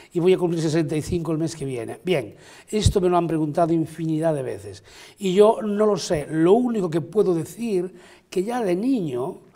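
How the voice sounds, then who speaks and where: A man speaks at a moderate pace with a high pitch. His tone is dark and mellow, and his intonation is lively. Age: 60s. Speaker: painter, writer and amateur Egyptologist. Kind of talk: TV interview.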